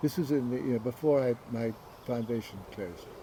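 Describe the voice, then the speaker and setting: Somewhat breathy, a man speaks at a medium pitch with a dark, mellow tone and ordinary pitch variation. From southern England, Windsor. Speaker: author and arts organizer. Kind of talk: interview conversation.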